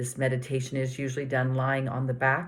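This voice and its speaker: A woman with a very deep, low pitch and a gentle, somewhat breathy tone speaks at a fairly quick pace. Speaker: meditation teacher. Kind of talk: guided body scan meditation.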